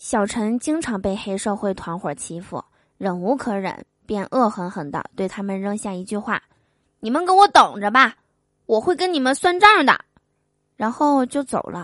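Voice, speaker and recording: With a quiet background and a dry, close sound with no echo, a woman of medium pitch speaks at a fairly slow pace with lively intonation. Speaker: podcast host telling jokes. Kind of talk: scripted joke reading.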